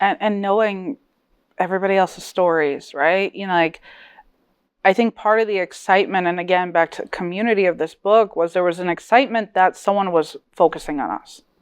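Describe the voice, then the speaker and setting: A woman with a Connecticut accent at medium pitch, talking at a fairly quick pace with ordinary pitch variation. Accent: American English, Connecticut. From New Britain, Connecticut; Polish diaspora. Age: 30s. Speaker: author. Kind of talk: panel discussion.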